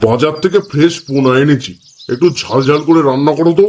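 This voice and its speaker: A man does a booming, put-on character voice at a fairly high pitch, with ordinary pitch variation. His loudness stays very even at a moderate pace. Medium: cartoon. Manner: grumpy, penny-pinching.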